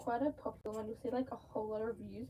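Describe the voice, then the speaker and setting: Through noticeable background noise, a woman's words come out at a very fast pace. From Australia. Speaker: mask maker livestreamer. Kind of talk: casual livestream chat while crafting. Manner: animated.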